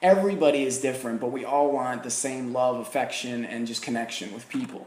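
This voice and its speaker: Someone talks at a fairly quick pace with an American accent, ordinary pitch variation and big swings in loudness. Noticeable background noise and audible room echo are present. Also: man, medium pitch for a man. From New Jersey. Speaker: podcast host. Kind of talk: interview conversation.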